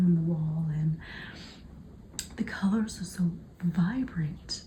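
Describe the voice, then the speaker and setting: At a fairly slow pace, a woman with an unremarkable speaking voice talks with ordinary pitch variation. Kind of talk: ASMR book flip-through narration, talking to camera. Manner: soft, whispered ASMR delivery.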